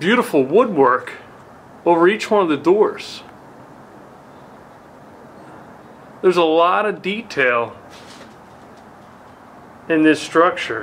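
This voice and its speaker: Light background noise sits behind the recording. A man speaks at a fairly slow pace. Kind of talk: casual exploration commentary. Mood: admiring, calm. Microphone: phone near.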